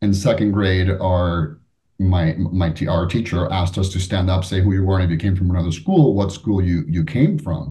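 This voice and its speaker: This man has a very deep, low pitch and a dark, mellow tone, sounding somewhat breathy with ordinary pitch variation. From Florida (Miami area), born in Cuba. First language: Spanish. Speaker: business executive and author. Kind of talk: interview conversation.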